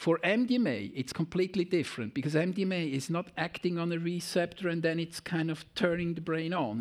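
Talking at a fairly quick pace with a Swiss German accent, a man with a high-pitched voice comes through on a very clean recording against a silent background. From German-speaking Switzerland. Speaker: pharmacology professor. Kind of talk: lecture. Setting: conference hall with audience.

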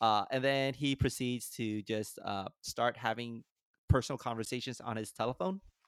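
At a moderate pace, a man uses a plain, everyday voice of medium pitch and ordinary pitch variation, recorded dry and close with no echo. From California. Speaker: podcast host. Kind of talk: casual chat. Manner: laughs often.

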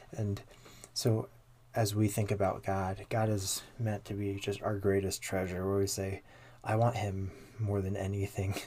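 This man has a dark, mellow tone, a fairly low pitch and a somewhat breathy sound. He talks at a fairly slow pace with monotone, flat intonation. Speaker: podcast host. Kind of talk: discussion of theology, casual chat.

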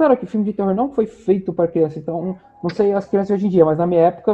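A man's high voice at a very fast pace. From Rio de Janeiro state, Brazil. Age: 20s. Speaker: podcast co-host. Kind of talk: casual chat.

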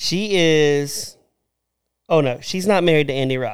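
A man's fairly high-pitched, animated voice with ordinary pitch variation at a fairly slow pace, in a very clean recording with a silent background. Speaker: podcast co-host. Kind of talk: casual chat. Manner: joking, animated.

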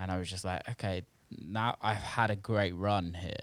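Speaking with a British accent, a man with a very deep, low pitch keeps a monotone, flat intonation on a very clean recording with a silent background. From UK. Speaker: house and techno producer and DJ. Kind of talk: casual interview chat. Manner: hesitant, many fillers.

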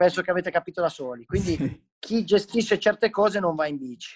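Recorded very cleanly against a silent background, with a dry, close sound and no echo, a man speaks in a high voice with ordinary pitch variation. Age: 30s. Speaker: professional BMX freestyle rider. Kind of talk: casual interview chat.

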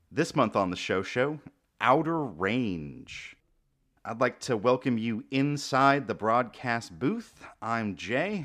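At a fairly slow pace, a man talks in an unremarkable speaking voice. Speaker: podcast host. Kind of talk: casual chat. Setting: live stream.

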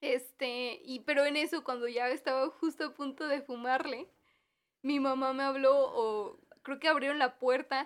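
A woman with a Mexican accent speaks at a fairly slow pace in a high pitch with fairly even intonation, on a very clean recording with a silent background. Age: 20s. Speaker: podcast co-host, university student. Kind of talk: casual chat.

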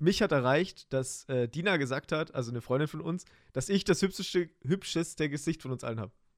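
A man talks at a fairly quick pace with a fairly high pitch and ordinary pitch variation. It is an unremarkable speaking voice in a very clean recording with a silent background. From Germany, Heidenheim (Swabia). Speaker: podcast host, streamer. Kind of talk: casual chat. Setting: home streaming room.

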